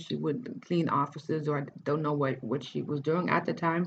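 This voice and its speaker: A woman speaks at a moderate pace in a very deep, low voice with ordinary pitch variation. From Netherlands, Cape Verdean family. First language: Dutch. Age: 30s. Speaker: writer and life coach. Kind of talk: personal life story monologue. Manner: halting, many false starts; casual.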